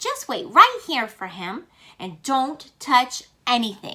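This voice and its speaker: A woman puts on a character voice, high-pitched and swinging very widely in pitch, at a fairly slow pace. The recording is very clean and the background silent. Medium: read story.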